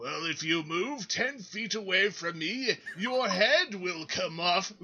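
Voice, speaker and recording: A man speaks in a put-on character voice at a high pitch. His pace is fairly slow. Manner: menacing, exaggerated.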